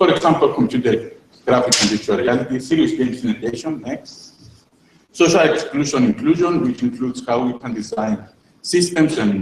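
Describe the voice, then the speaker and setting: A man of medium pitch with lively intonation at a fairly quick pace, over noticeable background noise. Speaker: researcher. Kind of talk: presentation. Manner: halting.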